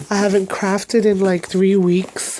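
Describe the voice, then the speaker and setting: Fairly slow female speech at medium pitch, against noticeable background noise. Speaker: craft vlogger and product demonstrator. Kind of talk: casual haul video. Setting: at home in bedroom. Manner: halting, many fillers.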